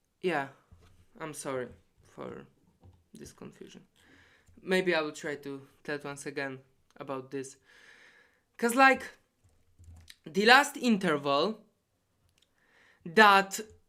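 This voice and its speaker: A woman with a non-native accent speaks at a fairly slow pace, her pitch swinging very widely. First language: not English. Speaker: competitive programmer explaining solutions. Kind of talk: tutorial. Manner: halting.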